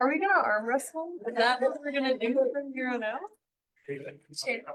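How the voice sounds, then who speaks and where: Speaking loudly at a moderate pace, a woman uses a high pitch. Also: ordinary pitch variation. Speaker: advisory board member. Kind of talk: casual chat before a meeting.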